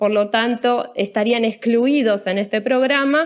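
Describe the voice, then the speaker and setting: This woman has an unremarkable speaking voice with a fairly high pitch. Her intonation is fairly even. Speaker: anesthesiologist. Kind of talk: lecture.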